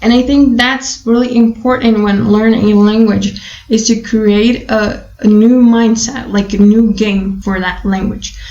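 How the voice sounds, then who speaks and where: A woman speaks at a fairly slow pace with a fairly high pitch and a monotone, flat intonation. She hardly pauses, and the room echo is audible. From Brazil. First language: Portuguese and Spanish. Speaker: language learning vlogger. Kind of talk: casual talk to camera. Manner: hesitant, many fillers and repetitions.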